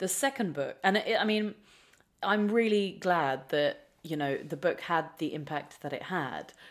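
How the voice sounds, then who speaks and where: A woman with fairly low pitch and an unremarkable speaking voice speaks at a fairly slow pace. Her intonation is lively, and the recording is very clean with a silent background. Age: 30s. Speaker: author. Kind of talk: interview.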